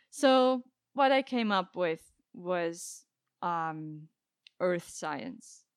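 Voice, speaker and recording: At a very slow pace, a woman speaks in a medium pitch with long, frequent pauses. Her pitch swings very widely. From Switzerland, Basel. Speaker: climate scientist. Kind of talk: casual chat.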